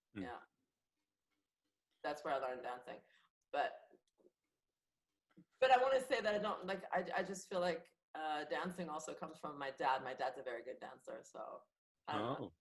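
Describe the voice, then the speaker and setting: At a moderate pace, a woman with a very deep, low pitch makes very wide pitch swings and big swings in loudness, with long, frequent pauses. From France. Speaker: comedian and actress. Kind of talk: podcast interview answer.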